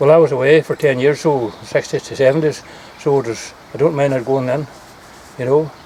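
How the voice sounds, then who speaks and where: A man with a Donegal accent at a fairly quick pace and fairly high pitch, with fairly even intonation, long, frequent pauses and noticeable background noise. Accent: Donegal Ulster Scots. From Ireland, East Donegal. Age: 80s+. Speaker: local elder. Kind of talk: casual chat.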